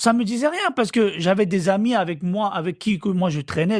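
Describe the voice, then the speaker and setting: A man speaks with an Ivorian accent at a moderate pace. His intonation is lively. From Côte d'Ivoire. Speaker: interviewee. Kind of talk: storytelling interview.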